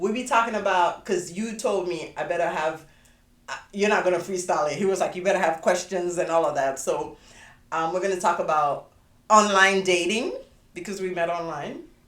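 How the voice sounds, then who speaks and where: With a West African accent, a woman talks at a fairly quick pace and medium pitch, and there is audible room echo. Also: ordinary pitch variation. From Sierra Leone, West Africa. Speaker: podcast host. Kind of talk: casual chat.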